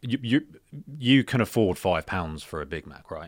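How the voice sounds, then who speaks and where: Lively intonation and a moderate pace mark this speaker with a British accent, on a very clean recording with a silent background. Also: man. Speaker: podcast host. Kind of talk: casual chat.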